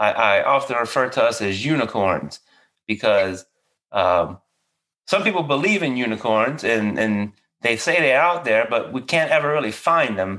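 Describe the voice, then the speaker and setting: On a very clean recording with a silent background, a man with a Louisiana accent talks at a moderate pace and medium pitch, his tone bright and sharp and his intonation lively. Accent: Cajun Louisiana. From Louisiana, near New Orleans. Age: 40s. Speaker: podcast host, veteran therapist. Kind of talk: casual interview.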